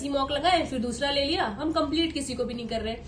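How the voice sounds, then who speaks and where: A woman's high voice amid noticeable background noise and audible room echo. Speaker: exam topper giving study advice. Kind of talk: tutorial. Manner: casual, conversational.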